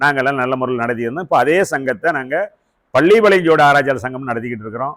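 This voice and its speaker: A man has an unremarkable speaking voice at a medium pitch. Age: 60s. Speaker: astrologer. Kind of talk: lecture.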